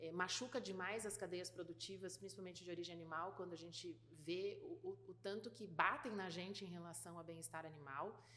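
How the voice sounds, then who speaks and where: A woman at medium pitch and moderate pace with ordinary pitch variation. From Rio Grande do Sul, southern Brazil. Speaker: food industry executive. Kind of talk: interview. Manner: hesitant, many fillers and repetitions.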